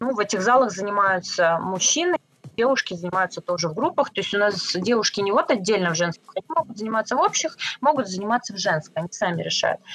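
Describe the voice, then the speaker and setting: Over noticeable background noise, a woman talks at a very fast pace with lively intonation, the sound dry and close with no echo. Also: medium pitch for a woman. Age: 30s. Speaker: self-defense instructor. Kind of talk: interview.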